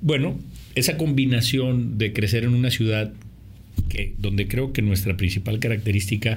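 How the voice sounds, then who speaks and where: A man at a moderate pace, somewhat breathy, with ordinary pitch variation and audible room echo. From Mexico, Monterrey. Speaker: film director and producer. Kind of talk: interview. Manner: halting, repeats words.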